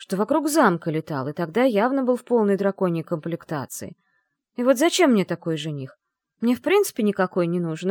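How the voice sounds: Someone reads in a natural voice against a quiet background.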